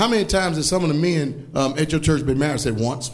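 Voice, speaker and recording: A man with a Southern US accent talks at a very fast pace in an animated tone. His pitch variation is ordinary. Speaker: preacher. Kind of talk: sermon. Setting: church with congregation. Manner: animated, emphatic, call-and-response with the congregation; blunt, scolding yet joking.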